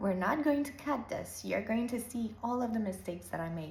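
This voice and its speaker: A woman speaks in a calm tone with a non-native accent. Audible room echo and noticeable background noise fill the recording. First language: not English. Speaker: lifestyle vlogger. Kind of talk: casual monologue. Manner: halting.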